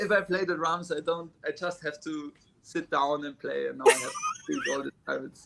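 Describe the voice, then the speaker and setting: Someone with a German accent speaks at a moderate pace against noticeable background noise. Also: man. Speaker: drummer. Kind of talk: interview. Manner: halting.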